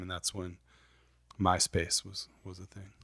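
Very deep and low, a man's voice carries an American accent and monotone, flat intonation. He moves at a fairly quick pace on a very clean recording with a silent background. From Michigan, Saginaw. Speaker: tattoo artist. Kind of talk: casual chat.

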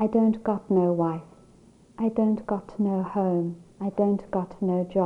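A natural reading voice holds a fairly even intonation throughout.

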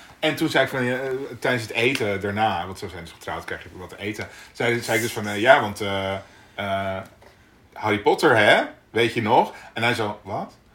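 An unremarkable speaking voice from a man, fairly low in pitch, moves at a moderate pace with ordinary pitch variation. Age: 40s. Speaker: podcast co-host. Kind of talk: casual chat. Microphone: poor amateur sound in early episode.

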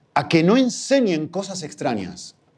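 Speaking with an Argentine accent, a man uses very wide pitch swings. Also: quiet background. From Argentina. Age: 40s. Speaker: guest preacher. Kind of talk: sermon.

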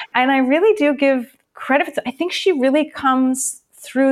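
A woman in a very clean recording with a silent background. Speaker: author. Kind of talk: interview.

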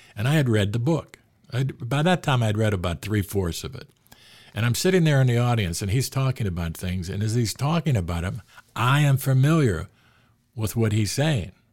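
A man with a Western Pennsylvania accent, medium-pitched and somewhat breathy, with lively intonation at a moderate pace, on a very clean recording with a silent background. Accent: Western Pennsylvania American. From Pittsburgh, US. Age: 70s. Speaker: sports author. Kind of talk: casual interview storytelling.

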